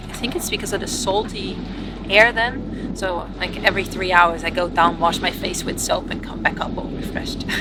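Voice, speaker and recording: A woman speaks at medium pitch. Audible room echo and noticeable background noise surround her. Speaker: sailing vlogger. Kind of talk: casual vlog talk.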